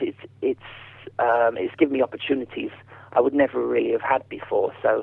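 A man's voice with a southern English accent at a moderate pace. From southern England. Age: 40s. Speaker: ventriloquist. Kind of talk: interview.

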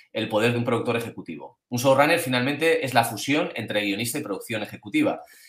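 A man rattles off his words very fast at a mid-range pitch, with normal rises and falls. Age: 40s. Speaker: screenwriter. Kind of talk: interview answering questions. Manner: halting.

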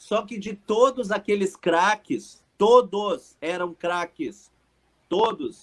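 The speaker moves at a very slow pace with lively intonation. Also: man, high pitch for a man. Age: 40s. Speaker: radio sports presenter. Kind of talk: casual interview chat.

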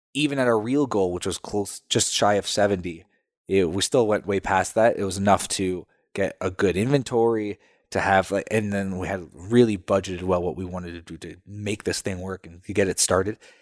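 A man speaks in a calm tone at a fairly quick pace and fairly low pitch, with ordinary pitch variation and big swings in loudness. The recording is very clean, with a silent background. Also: dry, close sound with no echo. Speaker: entrepreneur, company co-founder. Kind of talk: casual interview chat. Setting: in person in a studio. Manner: even-keeled, calm.

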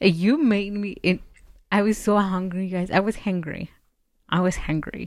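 Speaking at a fairly slow pace with long, frequent pauses, a woman with a Spanish accent keeps a fairly even intonation. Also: medium pitch for a woman. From Mexico. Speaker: podcast co-host. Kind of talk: casual chat.

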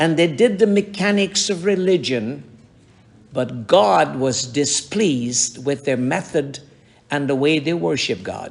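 A fairly high-pitched man's voice at a fairly slow pace, full of very wide pitch swings. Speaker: pastor. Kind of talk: sermon.

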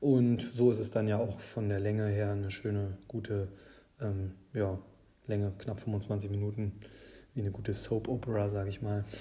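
The delivery is monotone and flat, at a moderate pace. Long pauses come often. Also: man, fairly low pitch for a man. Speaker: fantasy football podcast host. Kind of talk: casual solo podcast commentary. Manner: hesitant, many filler sounds.

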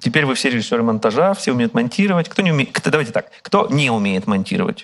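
The pitch swings very widely. Words come out at a very fast pace. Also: man. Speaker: media executive giving a master class. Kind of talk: lecture with audience Q&A. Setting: outdoor park event with live audience and broadcast. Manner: halting, many fillers and repetitions.

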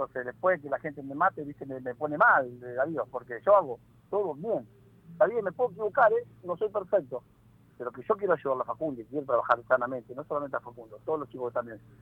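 A man with a Rioplatense accent talks at a very fast pace, his pitch fairly high and his intonation lively. His loudness swings widely. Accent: Argentine Spanish (rioplatense). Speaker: football player agent. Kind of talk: interview.

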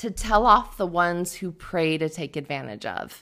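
Recorded very cleanly against a silent background, a woman with a plain, everyday voice speaks at a fairly slow pace with ordinary pitch variation. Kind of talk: spoken word poetry, rhymed and self-written. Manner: measured, rhythmic, earnest delivery; warm and encouraging, ends with a playful laugh.

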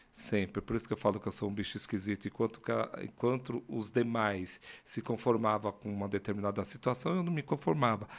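Fairly low-pitched male voice at a fairly quick pace, very cleanly recorded over a silent background. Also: ordinary pitch variation. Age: 50s. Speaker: agency founder and CEO. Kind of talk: casual interview. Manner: animated.

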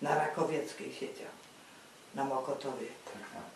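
Amid noticeable background noise and audible room echo, a woman talks fairly slowly. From Greater Poland, Lwówek. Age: 80s+. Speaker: eyewitness of wartime history. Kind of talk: oral history interview. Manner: halting.

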